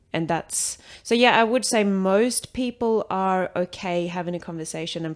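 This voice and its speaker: A woman speaks in a Swedish accent. The recording is very clean, with a silent background. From Sweden. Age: 20s. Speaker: athlete. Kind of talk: casual chat.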